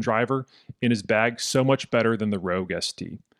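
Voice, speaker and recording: Speaking at a fairly quick pace with fairly even intonation, a man has a normal speaking voice, recorded with a dry, close sound and no echo. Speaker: podcast host. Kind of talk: casual interview.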